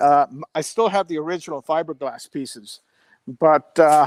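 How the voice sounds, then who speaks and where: A man at a moderate pace with ordinary pitch variation, in a dry, close sound with no echo. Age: 60s. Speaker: car owner and former racer. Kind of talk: casual chat. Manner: halting.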